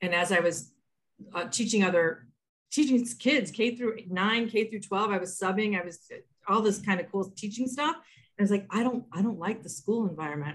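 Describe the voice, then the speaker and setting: A woman speaking at a mid-range pitch, her voice somewhat breathy. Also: ordinary pitch variation, moderate pace. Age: 50s. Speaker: author and learning and development trainer. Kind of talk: interview. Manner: halting.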